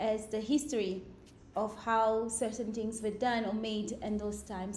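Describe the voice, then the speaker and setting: Moderate-paced speech from a woman with a fairly high pitch, audible room echo and noticeable background noise around her. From Mozambique, Beira. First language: Portuguese. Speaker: ecologist. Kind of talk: lecture.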